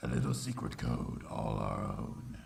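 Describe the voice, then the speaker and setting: A man puts on a character voice pitched very deep and low. He speaks at a moderate pace. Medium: fan dub. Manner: solemn, reflective.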